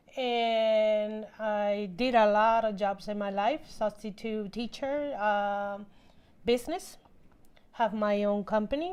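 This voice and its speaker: Against a quiet background, a woman speaks in a fairly high pitch at a very slow pace. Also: ordinary pitch variation. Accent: Spanish. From Puerto Rico. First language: Spanish. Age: 50s. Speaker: housewife. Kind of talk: interview testimony.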